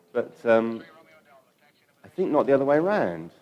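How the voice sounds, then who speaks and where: A man speaks with an English accent, his pitch swinging very widely. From London, England. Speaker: data visualization studio co-founder, conference speaker. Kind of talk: conference talk. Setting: stage with audience. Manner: hesitant, many fillers.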